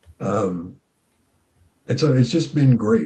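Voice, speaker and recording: Somewhat breathy, a man speaks at a fairly slow pace in a dark, mellow tone. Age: 60s. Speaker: counselor and author. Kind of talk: interview.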